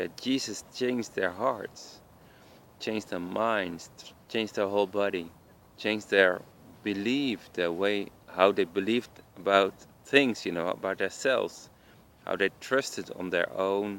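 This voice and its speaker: A strong Dutch accent at a fairly slow pace, with ordinary pitch variation and long, frequent pauses. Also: man, fairly low pitch for a man. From Netherlands. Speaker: evangelist vlogger. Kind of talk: informal religious talk. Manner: halting, many fillers.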